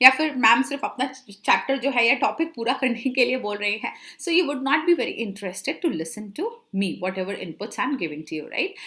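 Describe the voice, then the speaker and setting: A woman with a high pitch speaks at a moderate pace, her voice making very wide pitch swings. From Central India. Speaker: chartered accountant and communication coach teaching online. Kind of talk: online lecture mixing Hindi and English. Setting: live online class.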